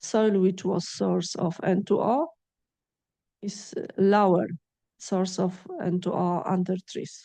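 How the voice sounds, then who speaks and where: In a Polish accent, a woman speaks at medium pitch with a dark, mellow tone and fairly even intonation. Her pace is very slow, with long, frequent pauses. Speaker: agrophysics researcher and lecturer. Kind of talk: lecture Q&A. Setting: lecture hall with audience. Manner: halting.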